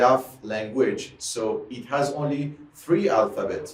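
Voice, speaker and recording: Over music in the background, a man speaks with an Iranian accent. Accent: Iranian (Persian). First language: Persian. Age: 30s. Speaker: music teacher. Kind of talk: tutorial. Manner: halting, with many repetitions and fillers.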